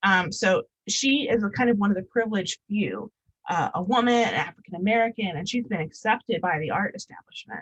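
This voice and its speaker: A woman speaks at a fairly quick pace in a medium-pitched, somewhat breathy voice with ordinary pitch variation. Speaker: curator and visual artist giving a talk. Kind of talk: public lecture presentation. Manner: fast; many filler ums.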